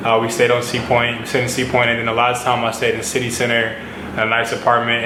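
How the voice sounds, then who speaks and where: Talking at a very fast pace, a man with an American accent speaks at medium pitch, with noticeable background noise and audible room echo. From United States. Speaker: model and vlogger. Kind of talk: casual vlog talk. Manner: casual, filler-heavy.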